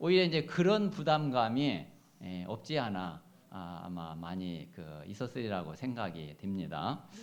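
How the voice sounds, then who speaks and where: Speaking at a fairly slow pace in a room with audible echo, a man with a fairly low pitch uses very wide pitch swings and big swings in loudness. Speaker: pastor. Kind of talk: sermon. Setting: church. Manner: forceful intonation; hesitant, many fillers.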